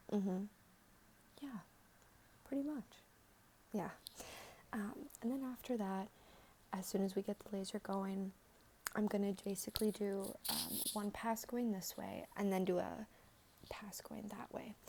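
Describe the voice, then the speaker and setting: A soft-spoken, somewhat breathy voice with a gentle tone, a dark, mellow tone, fairly even intonation and long, frequent pauses. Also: woman, medium pitch for a woman, fairly slow pace. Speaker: aesthetician giving a skin consultation (role play). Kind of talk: ASMR role-play skin consultation. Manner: soft-spoken, gentle, friendly.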